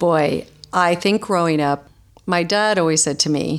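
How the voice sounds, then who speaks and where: A woman talks in a normal speaking voice. Her pitch is fairly low, with ordinary pitch variation. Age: 50s. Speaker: holistic nutritionist and author. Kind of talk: interview.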